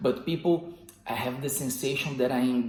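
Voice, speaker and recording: Audible echo from the room hangs around the speech. It moves along at a moderate pace. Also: man. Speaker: self-improvement video host. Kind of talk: motivational monologue. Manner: controlled volume.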